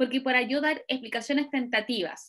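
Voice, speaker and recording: At a moderate pace, a woman speaks in a fairly high pitch, a normal speaking voice. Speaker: university lecturer. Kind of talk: online lecture.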